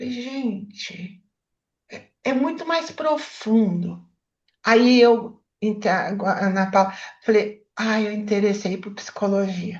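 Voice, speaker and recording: A woman's fairly high voice at a very slow pace, with big swings in loudness and ordinary pitch variation. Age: 70s. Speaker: therapist. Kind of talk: book club discussion.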